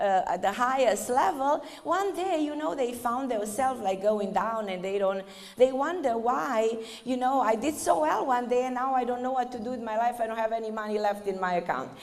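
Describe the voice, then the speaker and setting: Speaking in a Romanian accent at a moderate pace, a woman uses a high pitch and lively intonation, with audible room echo and noticeable background noise. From Romania (northern Transylvania). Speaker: spiritual speaker. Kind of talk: lecture.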